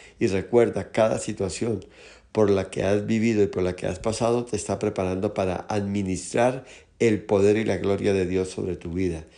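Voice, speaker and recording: A man speaks at a fairly slow pace in a fairly low pitch, with fairly even intonation, a dark, mellow tone and a quiet background. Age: 60s. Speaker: pastor. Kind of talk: sermon.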